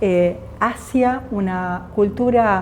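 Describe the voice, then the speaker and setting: In an Argentine accent, a woman speaks at medium pitch with a dark, mellow, somewhat breathy tone and ordinary pitch variation. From Argentina, Jujuy. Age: 50s. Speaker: physicist. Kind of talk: interview.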